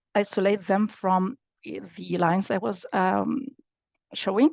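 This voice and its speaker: Vocal fry runs through this woman's speech at a fairly slow pace. The sound is dry and close, with no echo. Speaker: applied AI scientist. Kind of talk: technical workshop presentation. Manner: halting, many fillers.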